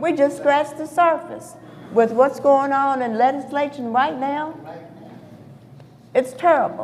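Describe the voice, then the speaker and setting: A woman speaks in a high voice at a fairly slow pace, with long, frequent pauses. Her intonation stays fairly even over noticeable background noise. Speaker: civil rights marcher. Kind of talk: panel discussion.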